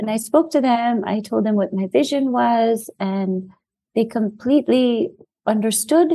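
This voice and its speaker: In an American accent, a somewhat breathy voice with a dark, mellow tone moves at a fairly slow pace with ordinary pitch variation. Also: woman, fairly high pitch for a woman. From New York City. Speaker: children's book author. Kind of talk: interview.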